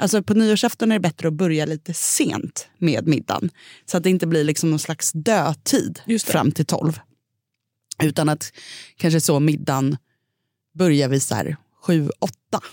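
A woman with a very deep, low pitch and a dark, mellow tone speaks at a moderate pace with ordinary pitch variation and long, frequent pauses, in a very clean recording with a silent background and a dry, close sound with no echo. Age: 30s. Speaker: food podcast host. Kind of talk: casual chat.

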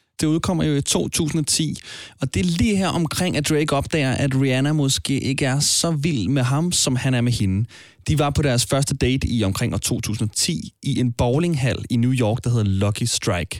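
A man with a plain, everyday voice, medium pitch, lively intonation, very even loudness and a fairly slow pace. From Denmark. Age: 20s. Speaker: podcast host. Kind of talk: podcast narration and interview.

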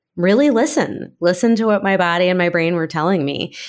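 Lively in intonation, a woman with an American accent uses an ordinary speaking voice at a medium pitch. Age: 40s. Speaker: author. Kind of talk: interview. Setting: video call.

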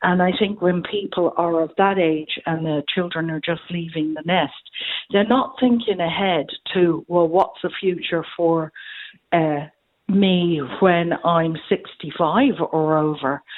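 The speaker has an Irish accent and talks at a very slow pace. Pitch moves in an ordinary way. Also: woman, fairly low pitch for a woman. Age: 70s. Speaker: caller. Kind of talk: phone-in radio chat. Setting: phone call.

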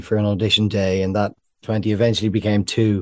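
Against a quiet background, a man with an Irish accent talks at a fairly low pitch in a dark, mellow tone with fairly even intonation. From Ireland. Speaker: film producer. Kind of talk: interview.

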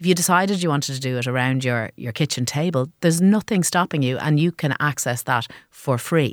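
In an Irish accent, a woman with a very deep, low pitch speaks with lively intonation on a dry, close recording with no echo, very clean with a silent background. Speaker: social enterprise co-founder. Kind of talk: interview. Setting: studio.

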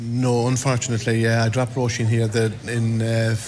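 Over noticeable background noise and audible room echo, the speaker talks in a west of Ireland accent with monotone, flat intonation. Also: man. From County Mayo, Ireland. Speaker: parent meeting arrivals. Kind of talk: vox pop interview. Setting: airport arrivals hall.

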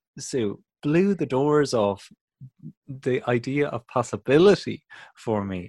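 With a Dublin accent and very wide pitch swings, the voice moves at a fairly slow pace in a very clean recording over a silent background. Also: man. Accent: Irish (Dublin). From Dublin, Ireland. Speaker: comedian and podcast host. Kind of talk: casual chat. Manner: animated.

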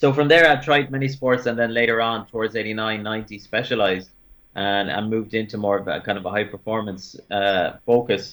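With a Limerick accent, a man speaks with ordinary pitch variation. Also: fairly low pitch for a man, moderate pace. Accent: Limerick Irish. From Ireland, Limerick. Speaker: former Paralympic sprinter. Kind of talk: radio panel chat. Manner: repetitive, halting.

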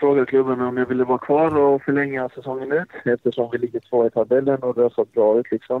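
A man speaking at a medium pitch. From Sweden, Blekinge (Karlshamn). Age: 20s. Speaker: professional footballer. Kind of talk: interview. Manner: halting.

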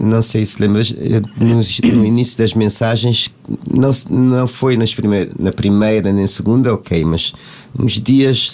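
A man at a medium pitch and fairly slow pace, with noticeable background noise. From Cape Verde. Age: 50s. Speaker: singer. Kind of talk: casual chat. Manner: halting.

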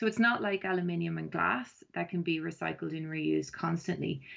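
This woman has an Irish accent and a fairly low pitch. She talks at a moderate pace against a quiet background. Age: 40s. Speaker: environmental campaigner. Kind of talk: interview. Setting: phone call. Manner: hesitant, many ums.

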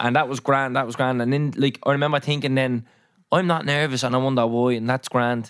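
A man speaks with an Irish accent at a fairly quick pace. His medium pitch carries monotone, flat intonation. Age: 20s. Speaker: podcast host. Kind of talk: casual chat.

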